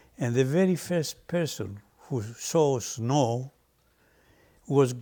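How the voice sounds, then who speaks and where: Lively intonation marks this speaker with a Greek accent, captured in a very clean recording with a silent background. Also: man. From Greece. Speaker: restaurant owner. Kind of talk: personal reminiscence interview. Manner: halting.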